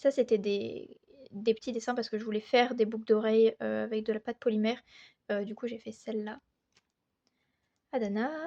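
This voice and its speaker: Her pitch is fairly high and her tone dark and mellow. The woman keeps a moderate pace with long, frequent pauses. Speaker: artist showing sketchbook. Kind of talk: casual chat. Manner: hesitant, many fillers.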